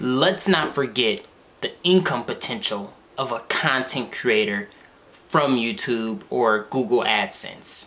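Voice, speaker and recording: The voice belongs to a man. His pitch varies in an ordinary way. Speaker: content creator. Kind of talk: casual vlog chat. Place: home room.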